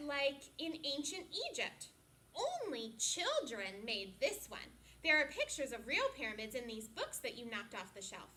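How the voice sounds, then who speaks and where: A woman uses a put-on character voice, high in pitch and at a moderate pace. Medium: read story. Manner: gentle, slightly shy.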